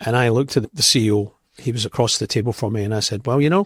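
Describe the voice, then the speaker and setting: Somewhat breathy man's voice with a Scottish accent, medium pitch and ordinary pitch variation, at a fairly quick pace, in a very clean recording with a silent background and a dry, close sound with no echo. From Scotland. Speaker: company executive. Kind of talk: interview.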